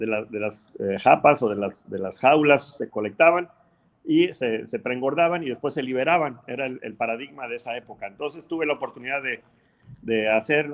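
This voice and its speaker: Medium in pitch, a man's voice shows ordinary pitch variation. He keeps a moderate pace. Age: 60s. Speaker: aquaculture researcher. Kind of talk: interview. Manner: halting.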